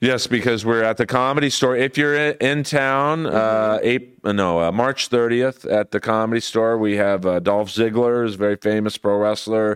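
An American-accented man at a moderate pace and medium pitch, with ordinary pitch variation, very even loudness and hardly any pauses, on a very clean recording with a silent background. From Los Angeles, US West Coast. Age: 50s. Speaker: comedian. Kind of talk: casual chat.

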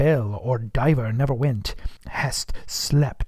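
This is an unforced reading voice. It is all there is to note.

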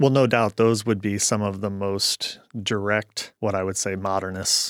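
A man with an American accent speaks in an unremarkable speaking voice at a fairly low pitch and moderate pace, his intonation fairly even, on a very clean recording with a silent background and a dry, close sound with no echo. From US Midwest (St. Louis, Missouri). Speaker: architect. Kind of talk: interview.

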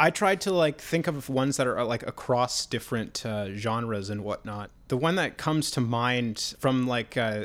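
The speech keeps a moderate pace in a very clean recording with a silent background. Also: man. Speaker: podcast co-host. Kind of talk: casual chat. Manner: hesitant, filler-heavy.

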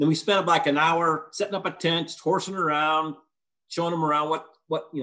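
An ordinary speaking voice talks at a moderate speed. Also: man. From Western Illinois. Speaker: canoe trip participant. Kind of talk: casual storytelling. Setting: video call.

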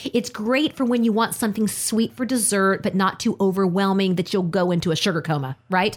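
With a normal speaking voice and lively intonation, a medium-pitched woman speaks at a moderate pace in a very clean recording with a silent background. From US South (army family, moved around). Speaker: radio host. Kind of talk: casual chat.

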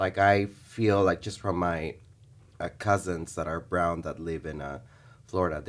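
Vocal fry runs through this man's speech, heard on a very clean recording with a silent background. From Bolivia. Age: 30s. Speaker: teacher. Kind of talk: interview. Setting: studio.

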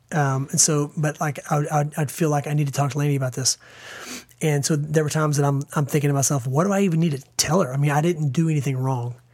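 Very fast and fairly high-pitched, a man's somewhat breathy voice keeps fairly even intonation and very even loudness. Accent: American. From small-town US. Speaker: podcast co-host. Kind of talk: personal testimony. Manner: halting.

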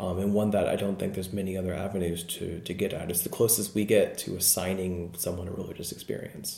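At a very fast pace with hardly any pauses, a man speaks in a very deep, low, dark and mellow voice, somewhat breathy and monotone with flat intonation. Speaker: research psychologist. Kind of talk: interview about research, casual and explanatory. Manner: hesitant, many fillers.

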